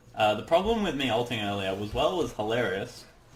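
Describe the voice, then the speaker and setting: A man with an Australian accent speaks amid audible room echo. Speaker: gaming commentator. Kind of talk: gameplay commentary. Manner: animated.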